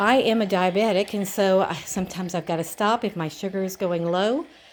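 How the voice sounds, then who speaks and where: A plain, everyday voice at a moderate pace in a very clean recording with a silent background. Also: woman. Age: 60s. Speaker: vlogger reviewing exercise bike. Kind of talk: casual product demo. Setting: at home. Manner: casual, chatty.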